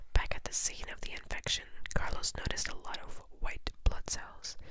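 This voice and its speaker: Someone whispers at a moderate pace. Background noise is noticeable. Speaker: ASMR creator. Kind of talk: children's book reading. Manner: whispered.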